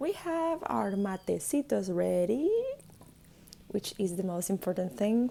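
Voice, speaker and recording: A woman with a Spanish accent talks at a fairly slow pace. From Argentina. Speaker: YouTube reactor. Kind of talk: reaction commentary. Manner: casual.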